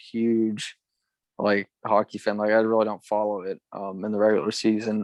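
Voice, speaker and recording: A man speaks with a western Pennsylvania accent. His pitch is medium and his pace moderate. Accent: western Pennsylvania American. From western Pennsylvania, Ridgway. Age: 20s. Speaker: former college runner. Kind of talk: casual interview. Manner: halting, many fillers and repeats.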